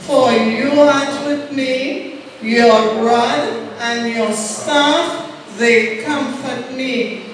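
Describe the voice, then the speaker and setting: A woman with a high voice speaks at a very slow pace and with fairly even intonation. Noticeable background noise and strong room echo fill the recording. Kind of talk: scripture reading and exhortation. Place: church.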